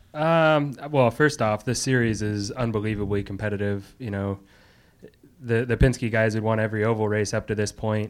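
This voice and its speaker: Speaking at a moderate pace, a man with a fairly low pitch has an unremarkable speaking voice. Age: 30s. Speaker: race car driver. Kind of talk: press conference. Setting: press room.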